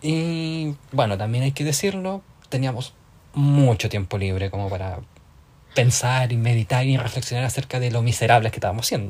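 A man at a medium pitch and moderate pace, somewhat breathy, with lively intonation. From southern Chile (Tomé, near Concepción). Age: 20s. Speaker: podcast co-host. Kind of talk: casual chat.

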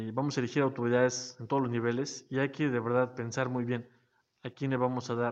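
At a fairly quick pace, a man speaks in a flat monotone at a medium pitch. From Mexico, Zacatelco, Tlaxcala. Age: 30s. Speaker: aspiring local politician. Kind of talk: casual interview. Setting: studio.

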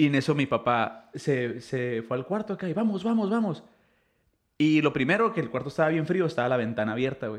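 A man's fairly high voice with very wide pitch swings, at a fairly quick pace, over a quiet background. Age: 30s. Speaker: podcast host. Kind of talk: casual chat.

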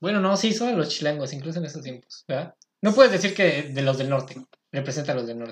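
A man talks very fast with lively intonation and big swings in loudness. His voice is fairly high and somewhat breathy. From Mexico, State of Mexico. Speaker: podcast host. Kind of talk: casual chat.

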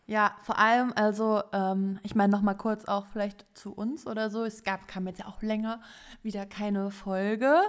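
At a moderate pace, a woman speaks in a flat monotone at medium pitch. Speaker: fashion podcast co-host. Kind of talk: casual chat. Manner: hesitant with many fillers.

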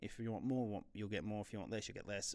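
A fairly low-pitched man with an Australian accent, monotone and flat, in a very clean recording with a silent background. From Australia (New South Wales). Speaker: podcast host. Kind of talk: solo podcast monologue. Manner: hesitant, many fillers.

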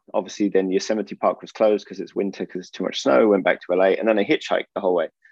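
A man speaks with a southern English accent at a fairly low pitch. His intonation is fairly even, and the sound is dry and close with no echo. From England (Oxford). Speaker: entrepreneur, former snowboarder. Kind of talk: interview.

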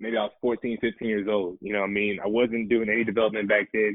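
An unremarkable speaking voice from a man, medium in pitch, fairly quick in pace, with fairly even intonation. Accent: American. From Raleigh, North Carolina (Nigerian family). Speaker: entrepreneur, agency founder. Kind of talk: casual podcast interview.

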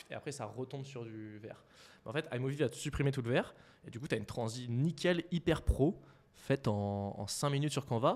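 On a very clean recording with a silent background, a man with an unremarkable speaking voice talks at medium pitch and a fairly quick pace, using ordinary pitch variation and big swings in loudness. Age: 20s. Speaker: startup co-founder. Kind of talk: casual interview chat.

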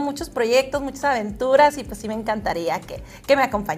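The speech unfolds at a medium tempo while music sounds behind it. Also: woman. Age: 30s. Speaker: model and pageant contestant. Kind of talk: interview.

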